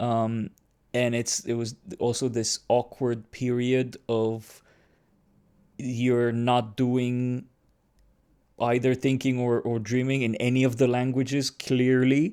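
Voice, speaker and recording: In a Romanian accent, a man speaks very slowly with a dark, mellow tone, monotone, flat intonation, and long, frequent pauses. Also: medium pitch for a man. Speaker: podcast host. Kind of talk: casual chat. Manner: halting.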